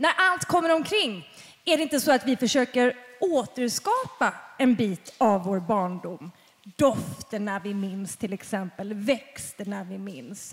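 A woman speaks at a fairly slow pace and a fairly high pitch, with very wide pitch swings and big swings in loudness. Noticeable background noise runs underneath. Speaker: podcast host moderating a panel. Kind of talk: live panel discussion. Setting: stage with audience.

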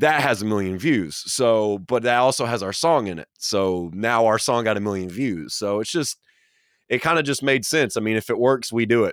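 In a very clean recording with a silent background, a man talks with a slight Southern US accent. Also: medium pitch for a man, ordinary pitch variation, moderate pace. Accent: Southern US, slight twang. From Atlanta, Georgia, US South. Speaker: metal band member, social media manager. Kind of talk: casual interview.

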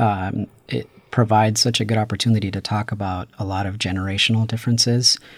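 In a normal speaking voice, a man talks at a fairly quick pace with hardly any pauses, keeping a medium pitch and fairly even intonation. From Paramount, Los Angeles. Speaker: PhD student in urban planning. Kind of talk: casual chat.

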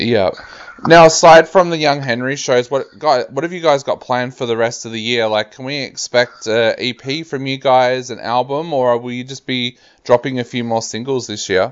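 With an Australian accent, a man speaks at a moderate pace and medium pitch, showing ordinary pitch variation and big swings in loudness. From rural Australia. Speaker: radio host. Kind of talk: casual interview.

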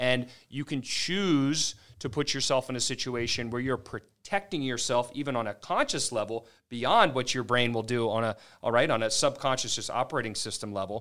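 In a very clean recording with a silent background, a man with a normal speaking voice talks at a moderate pace, with a medium pitch and ordinary pitch variation. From Maryland, US. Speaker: physical therapist and clinic owner. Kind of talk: podcast interview.

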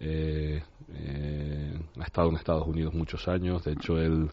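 A man's very deep, low voice in a flat monotone. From Tenerife, Canary Islands. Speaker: basketball coach. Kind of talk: radio interview. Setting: studio.

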